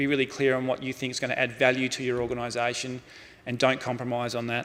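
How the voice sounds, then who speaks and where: A man with an Australian accent, medium in pitch, at a fairly quick pace. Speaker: football club executive, keynote speaker. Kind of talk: conference keynote. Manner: fast.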